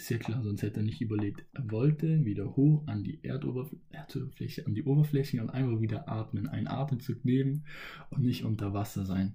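A man's dark, mellow voice at a medium pitch, with vocal fry, ordinary pitch variation, and a fairly quick pace. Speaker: solo podcaster. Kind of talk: motivational monologue. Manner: casual, with many filler sounds.

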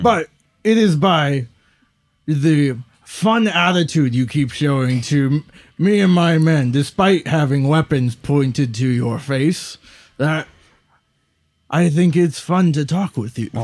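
A man speaks in a put-on character voice with fairly high pitch. His pace is fairly slow, with long, frequent pauses. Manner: smug, vain, genteel and amused.

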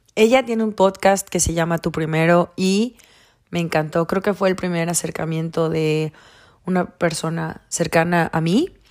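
In a normal speaking voice, the speaker talks at a moderate pace with fairly even intonation. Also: woman. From Mexico, Campeche. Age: 20s. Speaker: podcast host. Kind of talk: casual monologue.

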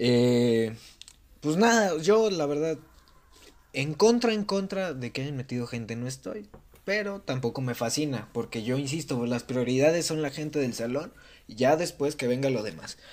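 In a normal speaking voice, a man talks at a moderate pace with fairly high pitch and lively intonation. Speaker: student podcast panelist. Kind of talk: casual chat.

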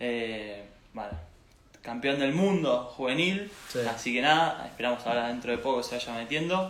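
Noticeable background noise and audible room echo surround a man with a medium pitch who speaks at a moderate pace with lively intonation. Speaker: interview host. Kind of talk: interview.

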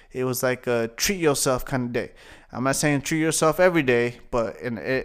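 A man with an American accent and an unremarkable speaking voice talks at a moderate pace with medium pitch and ordinary pitch variation, in a very clean recording with a silent background. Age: 20s. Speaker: podcast host and comedian. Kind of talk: casual solo monologue.

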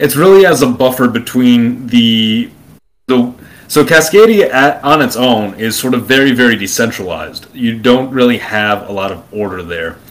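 A man has a plain, everyday voice with an American accent. He speaks at a moderate pace and medium pitch, with ordinary pitch variation. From Brooklyn, New York. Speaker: YouTuber on alternate history and politics. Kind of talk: long-form interview conversation.

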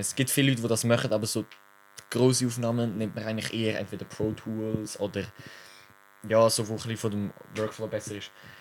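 This man's medium-pitched voice moves along at a fairly quick pace. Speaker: podcast co-host. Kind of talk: casual chat. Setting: sitting side by side in an attic. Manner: animated.

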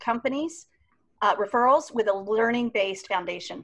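In a normal speaking voice, a woman with fairly high pitch speaks at a moderate pace with ordinary pitch variation over a quiet background. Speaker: podcast co-host. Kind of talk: interview. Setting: video call.

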